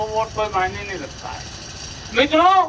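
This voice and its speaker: Noticeable background noise runs through as a man talks. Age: 70s. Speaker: politician. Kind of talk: campaign speech. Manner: animated.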